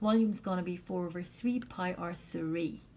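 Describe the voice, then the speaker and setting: A woman speaks fairly slowly in a somewhat breathy voice, with audible room echo around her. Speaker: math teacher. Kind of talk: lecture. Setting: recorded video lesson.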